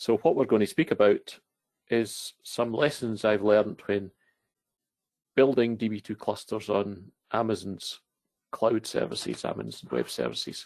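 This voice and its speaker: A man with a Scottish accent speaks at a moderate pace, taking long, frequent pauses. The sound is dry and close, with no echo. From Scotland. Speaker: database consultant. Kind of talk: technical presentation.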